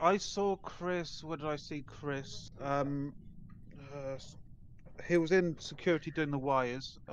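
A woman at a very slow pace with long, frequent pauses, over light background noise. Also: dry sound with no echo. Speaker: online game player. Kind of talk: casual gaming chat. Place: home room.

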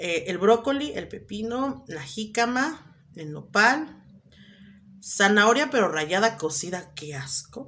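A woman's medium-pitched voice with a Mexican accent, very slow, with very wide pitch swings and big swings in loudness. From Mexico. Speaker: vlogger. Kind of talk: casual vlog chat. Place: home room. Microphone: phone near.

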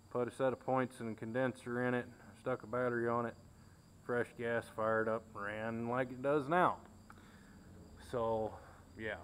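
At a moderate pace, a man talks in a monotone, flat intonation with long, frequent pauses over light background noise. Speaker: tractor owner. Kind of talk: casual tour narration. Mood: relaxed, reminiscing. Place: garage. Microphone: phone near.

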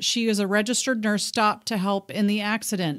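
Speaking in a normal speaking voice, a woman with an American accent keeps a moderate pace. The recording is very clean, with a silent background. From Texas. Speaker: radio show co-host. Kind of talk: casual chat.

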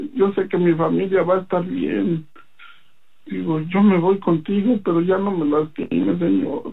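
Speaking at a fairly slow pace, a man uses a high voice with ordinary pitch variation. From Mexico City. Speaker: religious testimony giver. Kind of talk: testimony. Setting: phone call.

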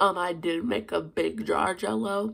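Fairly slow and fairly low in pitch, a woman speaks with a fairly bright tone and vocal fry. Her pitch varies in an ordinary way.

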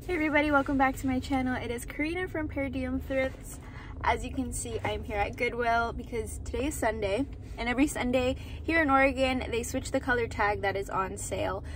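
At a fairly quick pace, a woman speaks over light background noise, the sound dry with no echo. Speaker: thrift reseller vlogger. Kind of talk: casual vlog chat. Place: car. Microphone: phone near.

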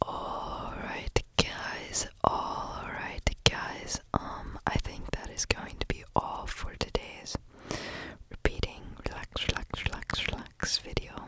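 Speech comes at a very slow pace in a dry sound with no echo, over loud background noise. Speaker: ASMR creator. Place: home room. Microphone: studio mic.

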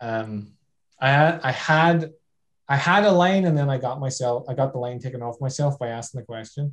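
Somewhat breathy, a man talks at a medium pitch. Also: ordinary pitch variation, moderate pace. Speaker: TV obstacle course show contestant. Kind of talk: casual storytelling.

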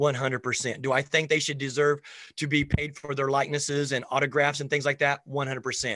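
Against a quiet background, a man with a fairly high pitch and a bright, sharp tone speaks at a moderate pace in a monotone, flat intonation, with dry sound and no echo. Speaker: basketball coach and show host; basketball coach, show host. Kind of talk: casual interview chat. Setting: video call. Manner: high energy. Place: home room. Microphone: video call.

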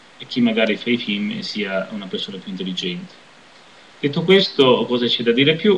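Lively intonation from a man with a medium pitch at a fairly quick pace, light background noise behind him. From southern Italy. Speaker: video blogger; vlogger commenting on politics. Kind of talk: personal commentary monologue. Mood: critical, reflective. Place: home room. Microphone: webcam.

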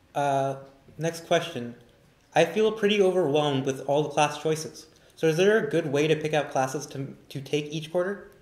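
Audible room echo surrounds a man with an American accent speaking at a moderate pace. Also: fairly high pitch for a man, ordinary pitch variation. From Northern California. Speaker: recent graduate, orientation leader; panelist, moderator. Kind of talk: live Q&A panel. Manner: halting, many fillers. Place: classroom. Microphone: camera far.

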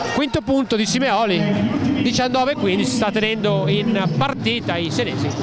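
A man with a high voice speaks very slowly, with lively intonation and very even loudness. The sound is dry with no echo, though loud background noise is present. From Italy. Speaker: basketball commentator. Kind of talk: live sports commentary. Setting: arena broadcast, commentary from courtside. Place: stadium.

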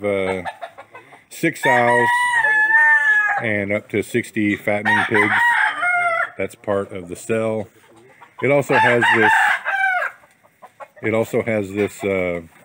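Loud background noise sits under very slow speech with long, frequent pauses and ordinary pitch variation. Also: man. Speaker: farm vlogger. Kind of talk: casual vlog chat. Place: farm machine. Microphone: phone near.

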